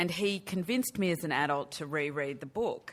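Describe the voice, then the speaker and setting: On a very clean recording with a silent background, a woman of fairly low pitch talks at a moderate pace with ordinary pitch variation. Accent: Australian. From Australia. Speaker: film producer. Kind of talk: press conference.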